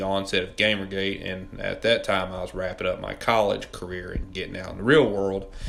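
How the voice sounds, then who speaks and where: Here is a man with a Southern US accent. His pitch is fairly low and his pace fairly quick. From US South, Mississippi. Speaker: political commentary YouTuber. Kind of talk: scripted video essay narration.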